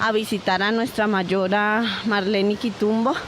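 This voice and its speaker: Over noticeable background noise, a woman of medium pitch speaks at a very slow pace in a monotone, flat intonation. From Colombia, Valle del Cauca, Nasa people. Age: young. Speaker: community leader. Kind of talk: field report narration.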